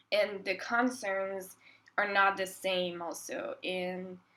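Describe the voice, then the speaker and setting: A woman speaks with a Quebec accent at medium pitch. Her tone is bright and sharp, her intonation fairly even. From Quebec, Montreal. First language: French. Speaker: composer. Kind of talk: interview. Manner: hesitant, many fillers.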